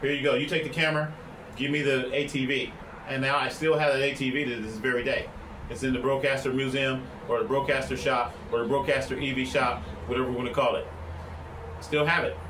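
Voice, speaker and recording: Delivered at a very fast pace, the speech breaks into long, frequent pauses, with audible room echo and noticeable background noise. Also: man, fairly high pitch for a man. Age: 60s. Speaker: vlogger and broadcast engineer. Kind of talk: casual vlog monologue. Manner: loud; animated.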